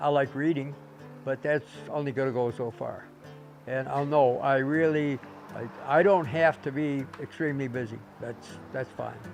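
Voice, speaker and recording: A man with a fairly high pitch talks at a moderate pace with fairly even intonation while music plays in the background. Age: 80s+. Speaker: auto mechanic. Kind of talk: interview answer. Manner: casual, storytelling.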